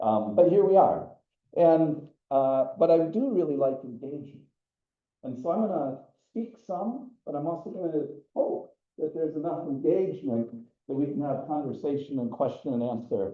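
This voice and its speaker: Audible room echo surrounds a man with a fairly high pitch and lively intonation who speaks at a moderate pace. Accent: American. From US Midwest. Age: 60s. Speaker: environmental educator. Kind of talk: lecture.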